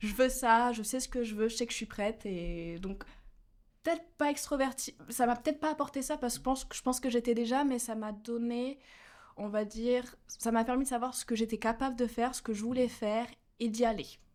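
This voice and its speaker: In a high pitch, a woman speaks at a fairly quick pace. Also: ordinary pitch variation. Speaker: university student, delegation co-leader. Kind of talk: casual interview.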